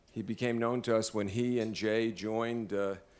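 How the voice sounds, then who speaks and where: A man with a strong Brooklyn accent, fairly low in pitch, at a moderate pace. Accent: heavy Brooklyn. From US Northeast, Brooklyn, New York. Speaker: law school dean, event emcee. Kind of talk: formal dinner introduction. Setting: dinner event with audience. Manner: halting, many fillers.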